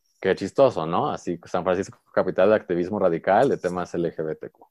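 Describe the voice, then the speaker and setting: At a fairly quick pace, a man speaks in a very deep, low pitch, the sound dry and close with no echo. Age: 20s. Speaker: interactive designer and performer. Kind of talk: interview conversation. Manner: projecting, animated.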